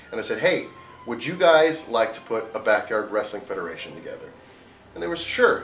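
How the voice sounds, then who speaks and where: A man talks at a fairly quick pace, his loudness swinging widely. Noticeable background noise runs underneath. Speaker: backyard wrestling federation founder. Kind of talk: interview answer.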